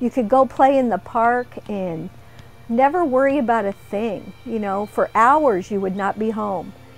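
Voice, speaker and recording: Faint music sits in the background as a woman talks at a fairly slow pace with ordinary pitch variation, the sound dry with no echo. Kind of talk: interview answer. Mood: warm, cheerful. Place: shop.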